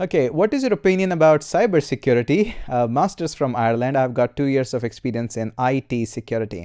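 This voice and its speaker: On a very clean recording with a silent background, a man with an Indian accent speaks at a fairly quick pace in a medium pitch and a dark, mellow tone, with very wide pitch swings. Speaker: programming YouTuber and course instructor. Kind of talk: live stream Q&A. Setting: live stream. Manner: casual, many filler uhs.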